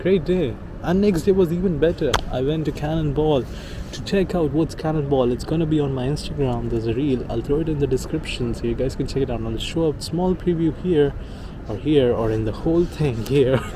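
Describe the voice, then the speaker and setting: Noticeable background noise runs behind a man speaking at a fairly quick pace. His voice is fairly high, with ordinary pitch variation. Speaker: vlogger. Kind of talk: casual storytelling vlog. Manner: halting, stuttering.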